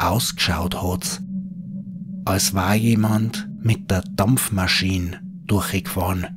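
A man with a Bavarian accent speaks in a dramatic tone at a very slow pace, with very wide pitch swings, long, frequent pauses, and noticeable background noise. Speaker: horror storyteller. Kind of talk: scripted ghost story narration in dialect. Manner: hushed, slow, eerie storytelling; dramatic, building suspense.

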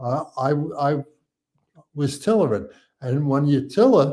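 Speaking at a moderate pace with a New York accent, this voice has a dark, mellow tone and lively intonation over a quiet background. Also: man. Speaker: retired fire captain; podcast guest. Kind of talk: casual interview. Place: home room.

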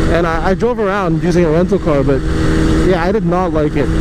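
A fairly quick pace in a dry sound with no echo, against loud background noise. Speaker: motovlogger. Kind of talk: casual vlog chat. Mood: relaxed, mildly ranting. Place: motorbike. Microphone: helmet.

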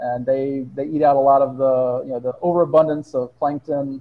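At a moderate pace, a man speaks in a monotone, flat intonation. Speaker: guest. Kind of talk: interview answer. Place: home room. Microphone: earbuds.

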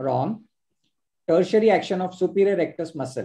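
A man with a high pitch and a dark, mellow tone speaks at a moderate pace. His pitch varies in an ordinary way, and the background is quiet. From India. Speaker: ophthalmologist and quiz host; quiz host. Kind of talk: live online quiz hosting. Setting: video call. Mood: cheerful, smiling. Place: home room. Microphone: video call.

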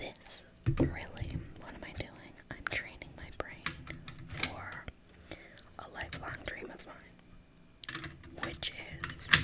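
Very slow whispering from a woman. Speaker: ASMR creator. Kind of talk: ASMR whispered gameplay. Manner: whispered.

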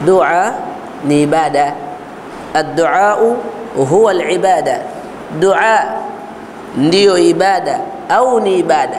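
Over light background noise, a high-pitched man speaks very slowly with long, frequent pauses, very even loudness and ordinary pitch variation. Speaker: religious teacher. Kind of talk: religious lecture. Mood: calm, explanatory. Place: office. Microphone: lapel.

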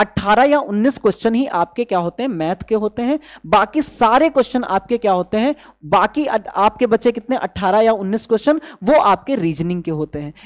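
A man's fairly quick, high-pitched voice with lively intonation, few pauses, and a dry, close sound with no echo.

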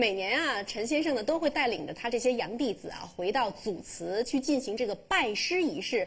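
A woman talks at a moderate pace with hardly any pauses. Her high voice makes very wide pitch swings. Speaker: TV talk show host. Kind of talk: TV interview host. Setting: TV studio with audience.

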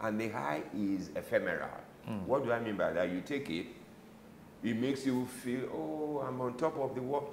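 A man with a Nigerian accent at a moderate pace, with audible room echo and light background noise. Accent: Nigerian (Yoruba) English. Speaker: retired medical doctor, anti-drug ministry director; interview guest. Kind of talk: interview. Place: office. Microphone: lapel.

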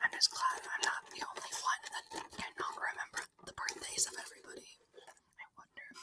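Whispering at a fairly quick pace, a woman leaves long, frequent pauses and shows big swings in loudness. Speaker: ASMR creator. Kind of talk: ASMR whispered snack tasting. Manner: whispered. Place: home room. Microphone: studio mic.

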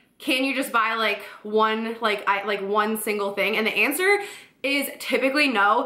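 There is a woman speaking at a moderate pace with ordinary pitch variation. The background is quiet, but audible room echo can be heard. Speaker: boutique owner vlogger. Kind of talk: casual vlog chat. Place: home room.

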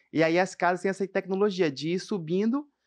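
A man speaks at a moderate pace with high pitch. The background is quiet. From Amazonas, Brazil. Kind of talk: testimony. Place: studio. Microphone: studio mic.

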